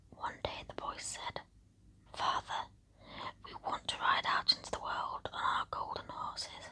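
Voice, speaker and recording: A whisper at a fairly slow pace, with long, frequent pauses. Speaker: ASMR creator. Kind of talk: bedtime story reading. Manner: whispered; slow, soft-spoken.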